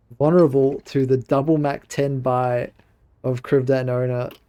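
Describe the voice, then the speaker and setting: A man with an Australian accent, fairly high in pitch, dark and mellow in tone. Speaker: esports commentator. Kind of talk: live commentary. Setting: solo livestream broadcast.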